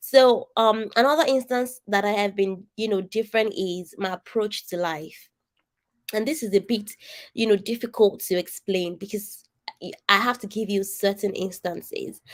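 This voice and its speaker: A nasal-voiced woman speaks at a moderate pace with lively intonation. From Nigeria, Ogun State. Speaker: coach and design strategist. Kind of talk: online coaching session talk. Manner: animated, conversational.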